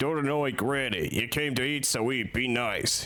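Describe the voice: A man puts on a rumbling character voice at a medium pitch. He keeps a moderate pace and very even loudness.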